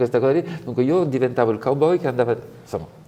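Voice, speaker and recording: A man with a French accent, fairly high in pitch, at a very fast pace. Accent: French accent in Italian. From France, Provence. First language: French (speaking Italian). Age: 60s. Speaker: fashion designer. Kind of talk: interview.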